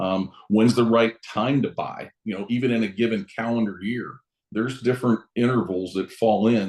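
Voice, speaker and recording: This man has a plain, everyday voice with an American accent. His pitch is medium and his intonation fairly even. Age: 60s. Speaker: real estate broker. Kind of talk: interview. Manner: casual, conversational.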